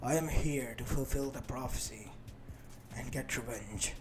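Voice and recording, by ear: Over clear background noise, a man puts on a character voice at a medium pitch and a moderate pace.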